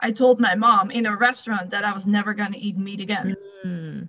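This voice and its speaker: A woman speaks in a fairly high pitch with a Dutch accent. Her pace is fairly quick and her intonation fairly even. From Netherlands. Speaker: fitness coach. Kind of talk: casual interview chat.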